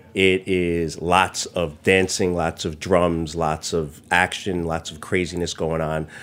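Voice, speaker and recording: Monotone, flat delivery in a New York accent at a fairly slow pace. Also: man. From New York City, Chinatown and Brooklyn. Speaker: chef and restaurant owner. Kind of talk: casual interview chat. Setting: studio.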